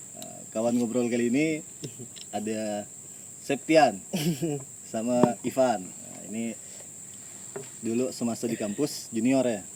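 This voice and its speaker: Speaking at a medium pitch and a fairly slow pace, a man uses fairly even intonation, with big swings in loudness and long, frequent pauses. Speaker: podcast host, university alumnus. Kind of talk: casual chat. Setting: outdoors, front yard of a campus camp.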